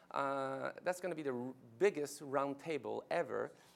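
A man with a French Canadian accent speaks at a moderate pace and medium pitch. His voice has vocal fry and ordinary pitch variation.

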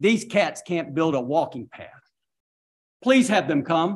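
A man speaks at a high pitch with lively intonation and an animated tone. The background is quiet. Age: 60s. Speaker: mayor chairing city council meeting. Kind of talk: council meeting. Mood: frustrated, blunt. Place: hall. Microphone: podium.

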